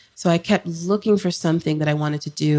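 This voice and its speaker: A soft-spoken woman has a very deep, low voice with a dark, mellow tone. The sound is dry and close, with no echo. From Florida and Jamaica. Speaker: psychotherapist. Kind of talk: podcast interview. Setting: in person.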